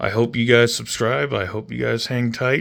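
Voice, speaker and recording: In an American accent, a man speaks at a fairly slow pace and medium pitch, showing vocal fry and ordinary pitch variation. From Oregon. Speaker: model railroader, army veteran. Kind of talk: guided tour narration. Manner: occasional stutters, word-finding pauses.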